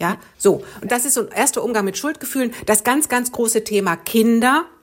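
A woman speaks at a moderate pace in a fairly high pitch with ordinary pitch variation, an unremarkable speaking voice. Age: 50s. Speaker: relationship coach and author. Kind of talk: casual interview.

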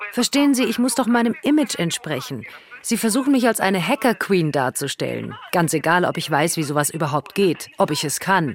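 A woman's pitch swings very widely as she talks at a moderate pace amid noticeable background noise. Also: medium pitch for a woman. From Latvia. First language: Russian (speaking German). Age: 50s. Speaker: accused programmer, interviewee. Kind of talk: interview from prison.

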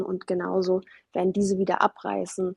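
A woman talks at medium pitch and a moderate pace. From Germany, arrived as refugee child from Afghanistan. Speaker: artist and author. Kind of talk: interview. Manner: frequent hesitations (ähm).

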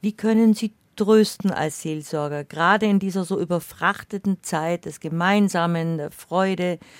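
Here a woman speaks at a moderate pace in a plain, everyday voice, her intonation fairly even. The recording is very clean with a silent background and a dry, close sound with no echo. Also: medium pitch for a woman. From Bavarian Swabia. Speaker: radio host. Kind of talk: radio conversation.

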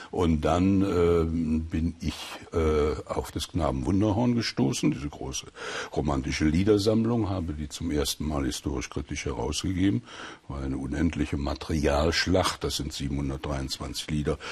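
A man speaks at a fairly slow pace in a very deep, low pitch with ordinary pitch variation. Noticeable background noise is present. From Sauerland, western Germany. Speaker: professor of German philology and folklore. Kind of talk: radio interview.

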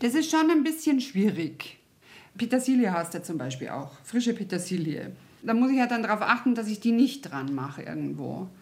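A woman at a fairly high pitch, with vocal fry, very wide pitch swings and a moderate pace. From Munich, Bavaria. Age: 50s. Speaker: podiatrist. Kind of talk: interview, casual.

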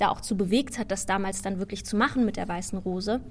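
Her intonation is monotone and flat. The woman speaks at a fairly quick pace. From Germany. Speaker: musical actress. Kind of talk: interview.

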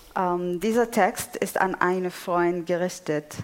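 A woman's fairly low-pitched voice with an Arabic accent, at a fairly slow pace. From Syria, Damascus. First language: Arabic (speaking German). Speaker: poet. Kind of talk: panel discussion on stage. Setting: theatre stage with audience. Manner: halting.

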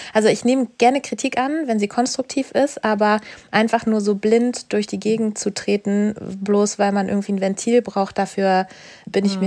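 With a normal speaking voice, a woman talks at a medium pitch. She keeps a moderate pace, and her intonation stays fairly even. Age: 30s. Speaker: doctor. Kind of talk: coaching session.

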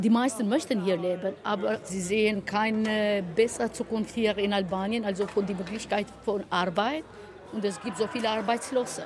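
Over noticeable background noise, a woman with a medium-pitched voice talks at a moderate pace with fairly even intonation. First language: Albanian (speaking German). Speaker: vocational school teacher. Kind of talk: interview.

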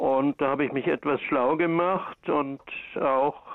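The speaker is a man. He talks with ordinary pitch variation. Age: 70s. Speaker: caller, patient. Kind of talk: phone-in question. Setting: phone call.

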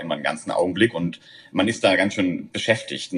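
A man races through his words at a very fast pace, with noticeable background noise behind him. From southern Germany. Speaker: recreational drug user. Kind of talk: interview.

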